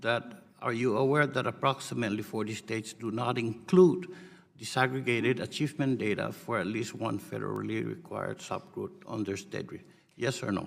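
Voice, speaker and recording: This man has a non-native accent and a medium-pitched voice with vocal fry. He talks at a fairly quick pace with ordinary pitch variation. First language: not English. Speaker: congressman questioning a witness. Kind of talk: congressional hearing questioning. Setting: committee hearing room. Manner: formal.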